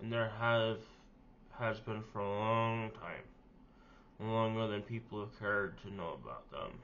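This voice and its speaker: The man talks fairly slowly. His voice picks up audible room echo. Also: medium pitch for a man. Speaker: vlogger. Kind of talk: personal vlog monologue. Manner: halting, with fillers.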